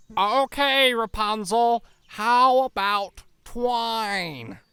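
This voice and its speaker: Using a put-on character voice, a man speaks at a very slow pace at an extremely high pitch. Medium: read story. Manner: stammering, flustered.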